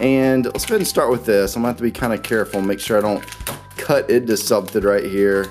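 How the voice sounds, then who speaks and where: With an enthusiastic tone, a man at a medium pitch talks at a very fast pace with ordinary pitch variation over noticeable background noise. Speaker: toy unboxing YouTuber. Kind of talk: toy unboxing commentary. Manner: casual, enthusiastic.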